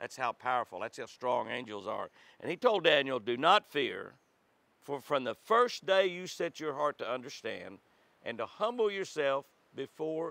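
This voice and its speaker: A man with lively intonation and a bright, sharp tone, the sound dry with no echo. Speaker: devotional host. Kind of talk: devotional reading and tutorial. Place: forest.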